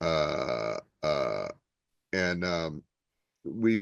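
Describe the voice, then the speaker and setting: The voice carries a New Jersey accent with ordinary pitch variation. The sound is dry and close with no echo, over a quiet background. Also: man. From Newark, New Jersey. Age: 60s. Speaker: stand-up comedian. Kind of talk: interview. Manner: halting, many fillers.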